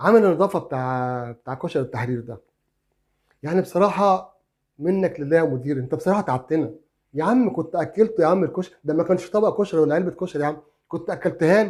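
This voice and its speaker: A man speaks at a fairly quick pace. His voice is high in pitch. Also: ordinary pitch variation. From Egypt. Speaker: YouTuber, crime story narrator. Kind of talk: casual vlog monologue. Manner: halting with many fillers.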